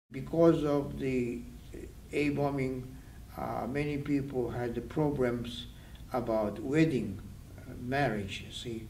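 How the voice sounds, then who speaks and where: A man speaks very slowly at a medium pitch, with fairly even intonation and long, frequent pauses. His loudness swings widely, and room echo is audible. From Japan, Hiroshima. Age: 80s+. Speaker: atomic bomb survivor. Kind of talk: interview testimony. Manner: halting.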